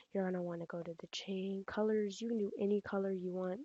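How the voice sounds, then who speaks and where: A dark, mellow tone in a dry, close sound with no echo. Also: woman. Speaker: graphics design tutorial youtuber. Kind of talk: tutorial. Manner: casual, many fillers; fast.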